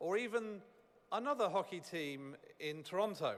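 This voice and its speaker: A man speaks in a high pitch. He has a British accent. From United Kingdom. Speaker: business executive. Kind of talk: ceremony speech.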